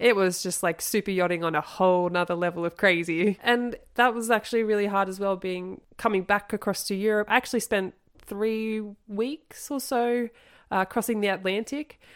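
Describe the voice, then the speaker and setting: A woman talks with an Australian accent. The recording is very clean, with a silent background. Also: medium pitch for a woman, ordinary pitch variation, moderate pace. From Australia, Sydney suburbs. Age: 30s. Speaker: ski season worker and yacht crew. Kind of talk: casual interview.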